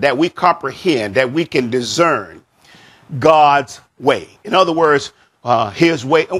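A man talks at a very slow pace, his pitch fairly high. The background is quiet. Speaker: pastor. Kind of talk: sermon. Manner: unhurried. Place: church. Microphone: lapel.

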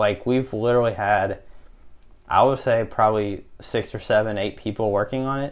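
At a moderate pace and medium pitch, a man talks with fairly even intonation in an unremarkable speaking voice, captured on a very clean recording with a silent background. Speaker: college student podcast host. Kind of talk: casual chat. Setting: dorm room.

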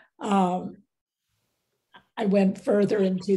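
This speaker has an American accent and a dark, mellow, somewhat breathy tone. The delivery is fairly slow and monotone, with flat intonation. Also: woman. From United States. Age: 90s. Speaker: visual artist. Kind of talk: interview. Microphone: video call.

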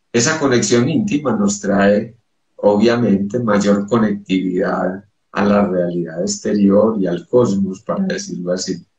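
Against a quiet background with audible room echo, a man speaks at a fairly slow pace. His voice is fairly low, with ordinary pitch variation. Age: 50s. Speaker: psychoanalyst and poet; psychoanalyst, poet. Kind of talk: interview. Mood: calm, spiritual explanation. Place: home room. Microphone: video call.

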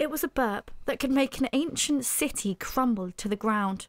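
On a very clean recording with a silent background and a dry, close sound with no echo, a woman speaks at a high pitch and a moderate pace in a dramatic, animated tone with ordinary pitch variation. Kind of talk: dramatic audiobook narration of a children's comic story. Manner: animated, theatrical, playful, with sound effects and character voices; builds suspense and comic timing with dramatic pauses.

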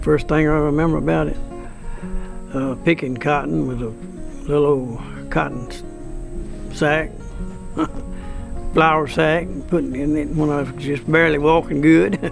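Over clear background music, a man talks at a moderate pace with long, frequent pauses in a dry sound with no echo. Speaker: farmer. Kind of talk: interview answer. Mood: calm, reminiscing. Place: farm.

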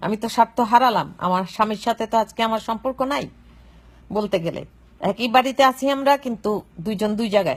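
The woman's voice is fairly high in pitch and somewhat breathy. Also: ordinary pitch variation. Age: old. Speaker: woman speaking about a murder case. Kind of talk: live video monologue. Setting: at home. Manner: emotional, halting.

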